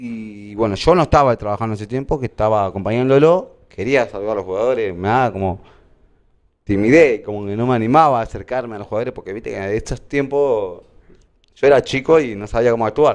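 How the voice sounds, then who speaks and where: Talking at a very fast pace in a medium pitch, a man's voice shows big swings in loudness. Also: ordinary pitch variation. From Argentina, La Plata. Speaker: kit manager for a sports club. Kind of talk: casual interview, anecdotes. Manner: halting, repetitive.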